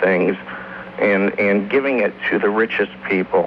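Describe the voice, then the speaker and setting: A man talks at a moderate pace with an American accent and ordinary pitch variation. Noticeable background noise runs underneath. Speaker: radio call-in listener. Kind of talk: casual talk-radio call. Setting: phone line. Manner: stammering.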